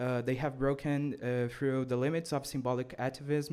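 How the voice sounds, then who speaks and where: Speaking at a moderate pace with a Brazilian accent, a man keeps a medium pitch and fairly even intonation. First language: Portuguese. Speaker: student activist. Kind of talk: conference speech read from script. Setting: conference. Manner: reading aloud with hesitations.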